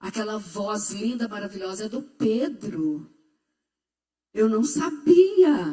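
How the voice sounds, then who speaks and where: Lively intonation shapes this woman's speech. Her voice is fairly high. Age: 80s+. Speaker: pastor's mother giving a testimony. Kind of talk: testimony.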